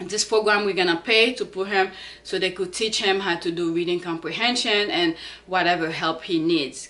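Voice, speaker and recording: A woman speaks with a non-native accent. Her pitch is medium. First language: not English. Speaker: fitness vlogger, parent. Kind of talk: casual vlog talk. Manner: halting, with fillers.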